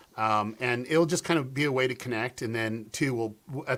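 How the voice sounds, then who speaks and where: A man in a normal speaking voice, fairly quick, with ordinary pitch variation. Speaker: conference organizer. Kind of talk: casual chat.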